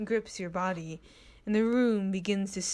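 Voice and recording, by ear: This is reading aloud in a natural voice. The text is read straight through.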